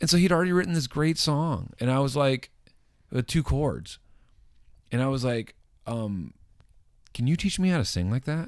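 Lively intonation from a man at a moderate pace, long, frequent pauses, on a very clean recording with a silent background. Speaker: band singer. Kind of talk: casual interview chat.

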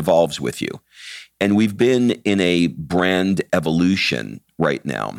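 Dry and close with no echo, a man with an American accent talks at a fairly slow pace in a very deep, low pitch with lively intonation. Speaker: podcast host and entrepreneur. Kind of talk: casual chat.

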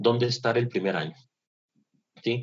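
A man talks in a medium-pitched, somewhat breathy voice. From northern Mexico, Monterrey, Nuevo León. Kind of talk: casual interview. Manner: halting, with many repetitions and fillers.

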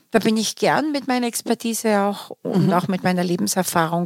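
A woman speaks at a fairly high pitch in an unremarkable speaking voice. The sound is dry and close, with no echo. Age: 60s. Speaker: career coach and academy founder. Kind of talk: interview. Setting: studio.

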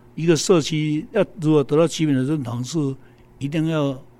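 A man talks with a fairly high pitch and a dark, mellow tone. His pace is moderate. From Taiwan, Taichung Taiping. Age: 70s. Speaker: community volunteer. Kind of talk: interview.

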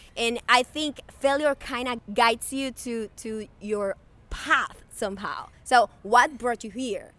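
In a Spanish accent, a woman with a high, bright, sharp voice speaks at a very slow pace, her loudness swinging widely while her pitch varies in an ordinary way. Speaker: podcast host. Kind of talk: casual chat.

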